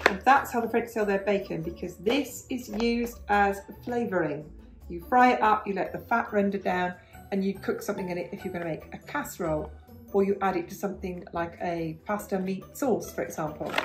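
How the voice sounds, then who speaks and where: Clear music plays in the background as the speaker talks at a fairly quick pace with ordinary pitch variation. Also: woman. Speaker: home vlogger. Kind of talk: casual vlog chat. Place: kitchen. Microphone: phone near.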